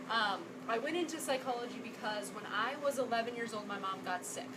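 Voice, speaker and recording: Audible room echo and noticeable background noise accompany the woman, whose delivery is fairly quick. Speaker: psychologist and nutrition workshop presenter. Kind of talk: workshop presentation to live audience. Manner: fast.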